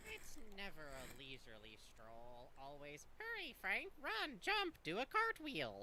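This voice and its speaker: A female-sounding, put-on character voice moves at a fairly slow pace with hardly any pauses. Clear background noise can be heard. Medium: game stream. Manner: fussy, proper, dry.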